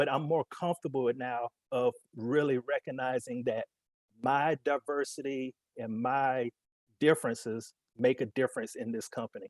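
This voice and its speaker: Fairly high-pitched, a man talks with a Southern accent. His pitch varies in an ordinary way. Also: dry, close sound with no echo. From US South, Alabama. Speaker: corporate executive panelist. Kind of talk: panel discussion.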